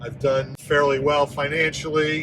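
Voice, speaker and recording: Against noticeable background noise, a man speaks at a fairly high pitch with monotone, flat intonation. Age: 60s. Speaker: vlogger. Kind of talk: personal vlog monologue. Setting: in a car.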